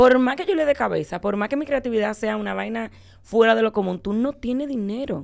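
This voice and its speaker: A woman talks at a fairly quick pace with lively intonation over a quiet background. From Dominican Republic. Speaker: guest's daughter; guest. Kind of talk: casual chat. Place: studio. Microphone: studio mic.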